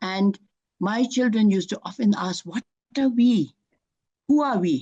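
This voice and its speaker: A woman talks at a moderate pace with lively intonation, her tone dark and mellow and somewhat breathy. The sound is dry and close, with no echo. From Bhutan. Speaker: author. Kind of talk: interview. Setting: festival interview. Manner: halting, many fillers.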